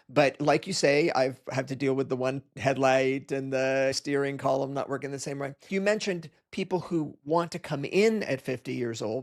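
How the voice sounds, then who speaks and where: Delivered at a moderate pace with hardly any pauses and ordinary pitch variation, this is an unremarkable speaking voice. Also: man, fairly high pitch for a man. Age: 60s. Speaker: podcast host and jiu-jitsu practitioner. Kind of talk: casual interview chat.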